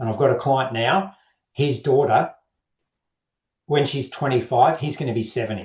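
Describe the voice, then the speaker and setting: A somewhat breathy voice at a moderate pace, in an Australian accent. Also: man. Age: 60s. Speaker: men's health coach. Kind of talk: podcast interview. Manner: straight-talking.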